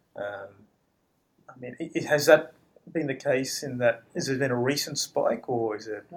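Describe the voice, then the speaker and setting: A man at a medium pitch uses ordinary pitch variation, leaving long, frequent pauses while his loudness swings widely. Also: moderate pace. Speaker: podcast interviewer. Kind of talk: business interview.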